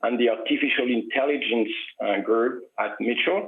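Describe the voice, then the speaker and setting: A man with a French accent and ordinary pitch variation. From France. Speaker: software company executive. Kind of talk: business interview.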